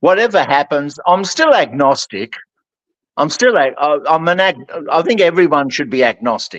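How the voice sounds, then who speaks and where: A man with an ordinary speaking voice talks at a moderate pace and fairly high pitch, his intonation lively and the sound dry and close with no echo. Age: 60s. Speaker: guest. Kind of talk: casual chat.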